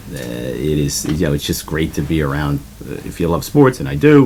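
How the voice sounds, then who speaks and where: A man speaks at a fairly quick pace with a New Jersey accent. Noticeable background noise runs behind him. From New Jersey, South Amboy. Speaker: politician. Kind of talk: interview. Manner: halting.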